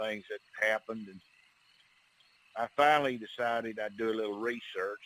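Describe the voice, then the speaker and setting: In an Alabama accent, a man talks at a moderate pace and medium pitch with fairly even intonation, the sound dry and close with no echo. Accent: Southern US (Alabama). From US South, northern Alabama. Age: 60s. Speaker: bigfoot investigator, outdoorsman. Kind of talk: podcast interview, personal encounter story. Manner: relaxed, conversational with many fillers.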